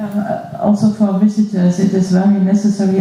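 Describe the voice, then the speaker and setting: Female speech with noticeable background noise. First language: German. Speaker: school museum director. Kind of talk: panel talk at a symposium. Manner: halting.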